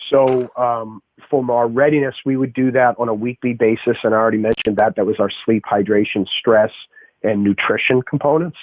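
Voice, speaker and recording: Here a man talks with a Boston accent at a fairly quick pace. His intonation stays fairly even. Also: medium pitch for a man. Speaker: strength and conditioning coach and athletic trainer. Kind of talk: podcast interview conversation.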